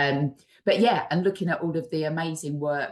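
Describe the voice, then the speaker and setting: A woman with an East London accent talks with ordinary pitch variation. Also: quiet background. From East London, England. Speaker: charity chief executive. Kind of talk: webinar interview.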